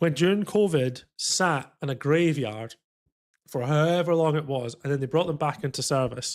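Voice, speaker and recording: On a very clean recording with a silent background, a man with a strong Scottish accent speaks at a moderate pace, his fairly high pitch showing ordinary variation. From Scotland. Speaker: flight sim streamer. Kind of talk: casual chat. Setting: live stream. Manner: animated.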